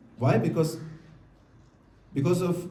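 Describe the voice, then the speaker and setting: Audible room echo surrounds a man speaking in a South Indian accent at a fairly high pitch. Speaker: monk lecturer. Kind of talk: lecture with consecutive interpretation. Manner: fast.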